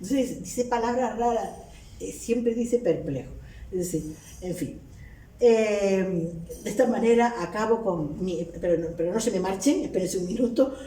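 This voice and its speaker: Over noticeable background noise and audible room echo, a woman talks at a moderate pace in a medium pitch with lively intonation. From Canary Islands. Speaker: linguistics professor. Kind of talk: academic lecture.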